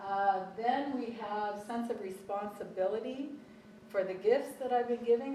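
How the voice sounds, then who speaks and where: A woman talks at a moderate pace with fairly even intonation. Audible room echo surrounds her voice. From Calgary, Canada. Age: 60s. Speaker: professor. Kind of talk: conference talk.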